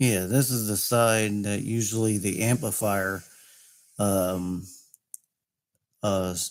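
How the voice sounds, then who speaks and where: A man's fairly low voice with fairly even intonation, at a very slow pace with long, frequent pauses. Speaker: vlogger. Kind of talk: casual monologue. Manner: halting. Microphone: microphone close to mouth.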